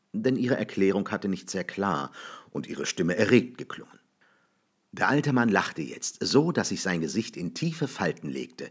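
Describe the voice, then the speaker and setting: In a very clean recording with a silent background, a man speaks in a fairly low voice with very wide pitch swings. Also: moderate pace. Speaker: audiobook reader. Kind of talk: literary short story reading.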